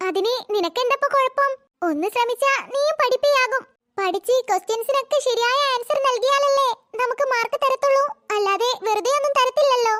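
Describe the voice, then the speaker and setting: In a cartoonish character voice, a woman speaks at an extremely high pitch with ordinary pitch variation. Her loudness stays very even and her pace is moderate. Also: dry, close sound with no echo. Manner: soft, patient, encouraging.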